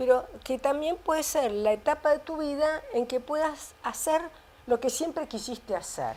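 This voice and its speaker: In a Rioplatense accent, a woman talks at a fairly slow pace with a high pitch and ordinary pitch variation. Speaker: biologist and author. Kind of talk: interview. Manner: halting.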